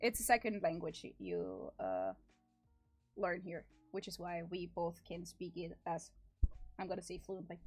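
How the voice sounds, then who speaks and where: A woman with a German accent at a fairly slow pace, music in the background. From Austria. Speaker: animator streamer. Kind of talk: casual chat.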